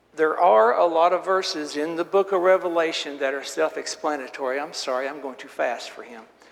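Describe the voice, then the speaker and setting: A man with fairly high pitch, ordinary pitch variation, big swings in loudness, a fairly quick pace with hardly any pauses, and noticeable background noise. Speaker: Bible class teacher. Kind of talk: lecture. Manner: fast. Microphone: sound issues at start of recording.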